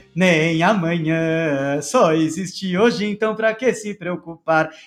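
Music plays behind a man speaking at a very slow pace. His pitch is high and varies in an ordinary way. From Brazil, São Paulo. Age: 30s. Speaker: rabbi and entrepreneur. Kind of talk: interview, casual chat. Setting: live-streamed podcast recording.

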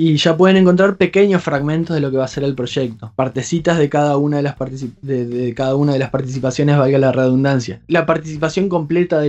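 Speaking in a Rioplatense accent, a man moves at a fairly quick pace with hardly any pauses. His pitch variation is ordinary. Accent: Argentine (rioplatense) Spanish. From Argentina, Entre Ríos province (small town). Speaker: doctoral researcher and musician. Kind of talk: interview. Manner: hesitant, many fillers.

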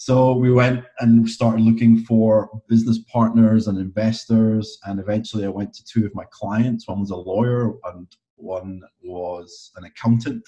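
This man, with a Scottish accent, has a dark, mellow tone at medium pitch and fairly even intonation. He keeps a moderate pace while his loudness swings widely. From Scotland. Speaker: fitness coach and online marketer. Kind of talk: casual interview.

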